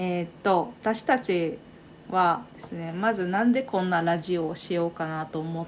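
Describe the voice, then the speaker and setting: A woman speaks in a normal speaking voice at a fairly low pitch. Her pace is fairly slow, with ordinary pitch variation. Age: 30s. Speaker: podcast co-host. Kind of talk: casual chat.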